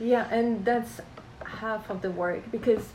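Over noticeable background noise and audible room echo, a woman speaks at a fairly slow pace in a fairly high pitch. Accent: French. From France, Alsace near German border. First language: French. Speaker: painter and collage artist. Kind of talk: interview.

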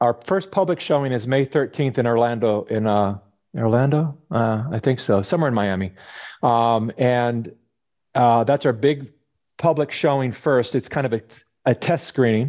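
An unremarkable speaking voice with an American accent, moving at a moderate pace with ordinary pitch variation. The background is quiet. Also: man, medium pitch for a man. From California. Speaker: documentary filmmaker. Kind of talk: interview conversation.

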